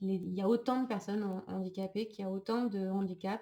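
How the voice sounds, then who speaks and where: Fairly even intonation from a woman, medium-pitched, with a dark, mellow tone. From France. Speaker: psychologist and trainer. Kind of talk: recorded online lecture. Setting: screen-shared slideshow recording. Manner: hesitant, many filler sounds.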